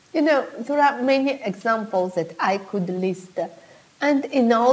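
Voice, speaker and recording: With noticeable background noise behind her, a woman speaks at a fairly slow pace and with lively intonation. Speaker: wedding planner. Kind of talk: vlog monologue.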